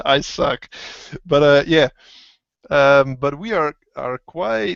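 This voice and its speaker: A man with a Dutch accent talks very slowly at a fairly high pitch. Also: ordinary pitch variation. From Netherlands. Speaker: motovlogger. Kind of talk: casual chat. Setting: video call. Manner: halting.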